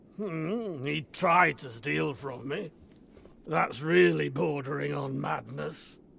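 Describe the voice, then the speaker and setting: A man's raspy put-on character voice, fairly high for a man, at a very slow pace. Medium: video game. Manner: sardonic, blunt.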